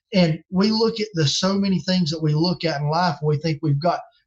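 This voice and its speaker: A man speaks with a Southern US accent. His pitch is high for a man, and his pace is moderate. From North Carolina. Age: 40s. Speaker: game call maker and evangelist. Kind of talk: casual interview chat.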